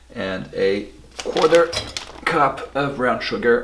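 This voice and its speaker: Audible room echo and noticeable background noise around a man's voice. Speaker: home cooking video host. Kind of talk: cooking tutorial. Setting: at home, bedroom then kitchen at night. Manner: whispering in the kitchen; casual, hesitant with fillers.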